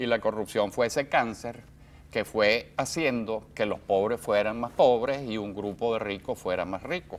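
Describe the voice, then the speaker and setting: A fairly slow pace from an ordinary speaking voice, its pitch varying in an ordinary way. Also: man, medium pitch for a man. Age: 60s. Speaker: journalist. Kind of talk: interview.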